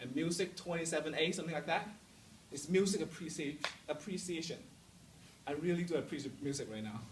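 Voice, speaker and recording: Over noticeable background noise and audible room echo, a man with a Hong Kong accent and a fairly high pitch talks at a very fast pace with ordinary pitch variation and long, frequent pauses. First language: Cantonese. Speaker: student speaker. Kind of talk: motivational talk to students. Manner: halting, repeats words; casual, humorous.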